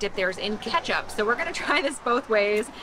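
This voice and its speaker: Speech at a moderate pace comes through with noticeable background noise. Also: woman. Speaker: travel vlogger. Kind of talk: casual vlog chat. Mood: cheerful, excited. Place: street. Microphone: phone near.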